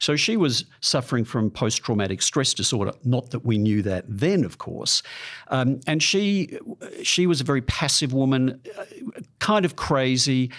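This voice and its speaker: Using lively intonation, a man with an Australian accent talks at a moderate pace and a medium pitch. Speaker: psychologist. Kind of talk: interview. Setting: studio.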